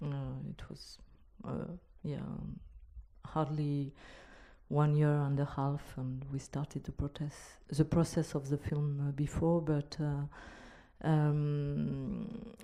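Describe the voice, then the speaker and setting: A woman's very deep, low pitch with a dark, mellow tone and fairly even intonation, very slow with long, frequent pauses, on a very clean recording with a silent background. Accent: non-native. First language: not English. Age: young. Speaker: filmmaker. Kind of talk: panel discussion. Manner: halting.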